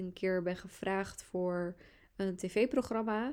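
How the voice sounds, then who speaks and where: A woman at a very slow pace with a dark, mellow tone. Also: very clean recording, silent background. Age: 20s. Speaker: podcast host, astrologer and entrepreneur. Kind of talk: solo podcast monologue.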